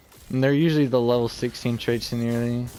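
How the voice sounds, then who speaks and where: A man mumbles quietly. His pitch sits in the medium range. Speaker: video game streamer. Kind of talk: gameplay tutorial commentary. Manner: mumbling.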